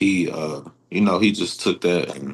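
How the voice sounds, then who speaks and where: Speaking with an American accent, a man uses a very deep, low pitch with vocal fry and ordinary pitch variation. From Texas, Houston. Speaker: rapper. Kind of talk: casual chat. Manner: casual, filler-heavy.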